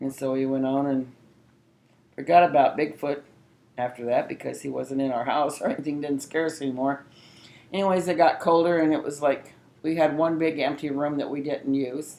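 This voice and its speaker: A woman with an American accent speaks at a fairly quick pace in a very deep, low pitch, with a dark, mellow tone and fairly even intonation. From southern Illinois. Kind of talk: interview answer. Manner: storytelling.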